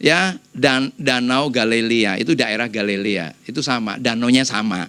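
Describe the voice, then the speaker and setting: Here a man talks at a fairly slow pace in an animated tone. His voice is bright and sharp, with ordinary pitch variation. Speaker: pastor. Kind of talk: sermon. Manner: animated, conversational.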